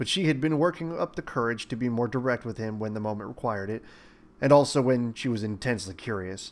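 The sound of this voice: The reading voice is unforced. Its pitch variation is ordinary.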